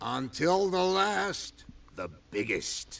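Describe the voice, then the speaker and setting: A man does a put-on character voice that is high-pitched and raspy. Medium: video game. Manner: gruff, guarded.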